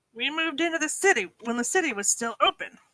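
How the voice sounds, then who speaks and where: A woman rattles off lines in a put-on character voice at a very fast pace, her pitch high. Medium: read story. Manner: casual slangy dude talk.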